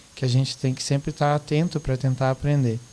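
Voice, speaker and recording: A man talks while noticeable noise carries on behind him. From Rio Grande do Sul, Brazil. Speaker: teacher. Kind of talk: podcast discussion.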